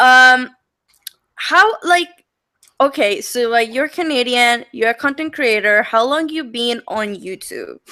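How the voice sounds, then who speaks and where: A woman with a strong non-native accent speaks very slowly in a raised, projected voice, high-pitched with a bright, sharp tone and lively intonation. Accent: thick foreign. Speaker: podcast host. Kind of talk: casual interview chat.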